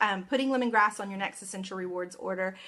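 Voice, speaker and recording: A bright, sharp tone marks this woman's voice. Her pitch varies in an ordinary way. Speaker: essential oil educator. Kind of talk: tutorial. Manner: fast.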